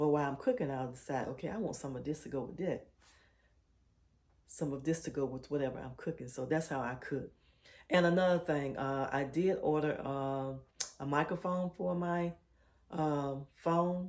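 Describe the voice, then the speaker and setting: Soft-spoken and very deep in pitch, a woman talks at a moderate pace with long, frequent pauses. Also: ordinary pitch variation. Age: 60s. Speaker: lifestyle vlogger. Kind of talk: casual vlog talk while cooking. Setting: home kitchen. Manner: soft-spoken, low.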